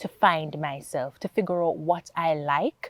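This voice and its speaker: A woman speaks at a moderate pace. Her sound is dry and close, with no echo. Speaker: accountant and foundation founder. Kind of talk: interview testimony.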